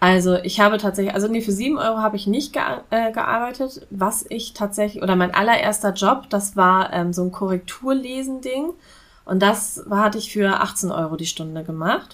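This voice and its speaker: A woman with an unremarkable speaking voice at medium pitch, ordinary pitch variation, in a very clean recording with a silent background. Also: moderate pace. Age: 30s. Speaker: business consultant for freelancers. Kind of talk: podcast interview.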